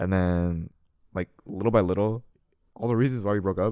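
The recording is very clean with a silent background. A man with a dark, mellow tone speaks at a fairly quick pace with fairly even intonation. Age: young. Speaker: podcast guest sharing breakup story. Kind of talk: casual interview. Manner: hesitant, filler-heavy.

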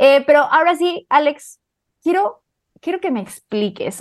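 A woman speaks in an animated tone at a fairly slow pace. Her high pitch swings very widely. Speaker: motorsport podcast co-host. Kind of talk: casual chat.

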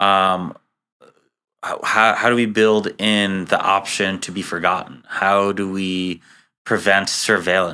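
A man with an American accent speaks very slowly at a fairly low pitch in monotone, flat intonation, his tone bright and sharp on a very clean recording with a silent background. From US, Queens, New York. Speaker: tech startup co-founder. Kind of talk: interview conversation. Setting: office conference room. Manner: halting.

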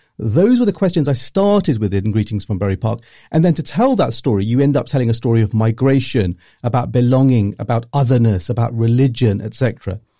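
A man speaks very fast at a medium pitch in a dark, mellow, somewhat breathy tone. The recording is very clean, with a silent background. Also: lively intonation. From Luton, England. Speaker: journalist and author. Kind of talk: interview.

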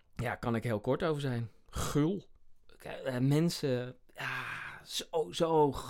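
A man with fairly high pitch, ordinary pitch variation and a very slow pace. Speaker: comedian and sketch podcast host. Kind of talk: casual chat.

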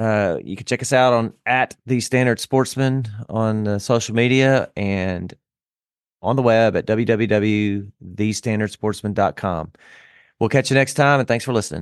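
Against a quiet background, a man with a Southern US accent talks at a moderate pace and medium pitch, keeping his intonation fairly even. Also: dry, close sound with no echo. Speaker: podcast host. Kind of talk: casual chat.

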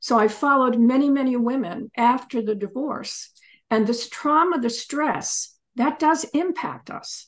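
Speaking at a fairly slow pace, a woman with an American accent uses a high pitch and ordinary pitch variation. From US, Pennsylvania. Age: 70s. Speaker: divorce attorney and author. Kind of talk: interview.

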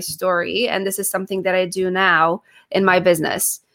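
Her tone is bright and sharp. The woman talks at a moderate pace with a medium pitch. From Poland, then New York from age 15. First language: Polish. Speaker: speech-language pathologist and accent coach. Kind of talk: interview. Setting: video call.

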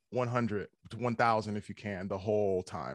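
A man with an American accent has a plain, everyday voice, pitched fairly low. The sound is dry and close, with no echo. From US Midwest. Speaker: metal band vocalist. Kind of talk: casual interview. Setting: video call.

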